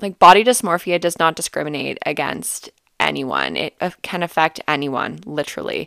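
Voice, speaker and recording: A woman at a moderate pace, with a dry, close sound with no echo and a very clean recording with a silent background. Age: 20s. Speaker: solo podcast host, former competitor and coach. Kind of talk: personal monologue on mental health. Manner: casual with frequent fillers and hesitations.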